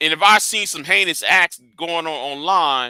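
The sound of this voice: In a dry, close sound with no echo, a man with a fairly high pitch speaks at a moderate pace with ordinary pitch variation and a bright, sharp, clear, smooth tone.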